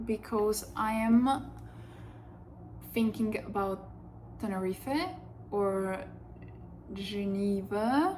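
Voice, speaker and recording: A woman with a non-native accent speaks at a very slow pace, with long, frequent pauses. Her voice sits at a medium pitch with fairly even intonation. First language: not English. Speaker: vlogger. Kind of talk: casual chat. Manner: hesitant, with fillers.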